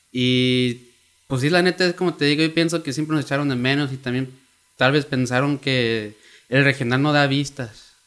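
A man with an ordinary speaking voice, fairly high in pitch, at a moderate pace and with fairly even intonation. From Oakland, California (Mexican-American). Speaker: music industry creator. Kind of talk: casual chat.

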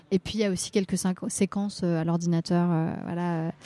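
A woman's medium-pitched voice, dark and mellow in tone, at a fairly slow pace with ordinary pitch variation and a dry, close, echo-free sound. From Brittany, Rennes area. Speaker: singer. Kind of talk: interview. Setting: café. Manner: halting.

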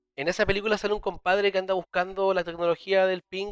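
A man speaks in a Chilean accent at a very fast pace with a high pitch. The sound is dry and close, with no echo. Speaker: podcast co-host. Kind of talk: casual chat.

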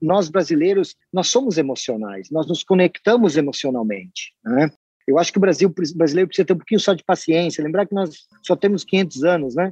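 A man with a high-pitched voice speaks at a fairly quick pace with lively intonation, his tone dark and mellow and the sound dry and close with no echo. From western Santa Catarina, Brazil. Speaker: company president. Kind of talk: interview.

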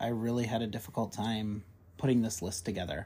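This man has an unremarkable speaking voice, pitched at a medium level and delivered at a moderate pace. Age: 30s. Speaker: horror podcast co-host. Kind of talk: casual chat.

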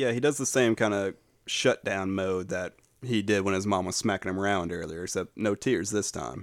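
An unremarkable speaking voice with ordinary pitch variation comes at a moderate pace in a very clean recording with a silent background. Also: man, fairly low pitch for a man. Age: 30s. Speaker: podcast host. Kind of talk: casual chat.

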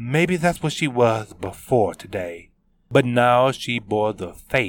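A natural voice does the reading here.

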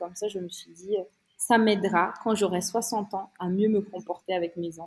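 A woman with fairly even intonation. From Madagascar. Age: 30s. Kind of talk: interview.

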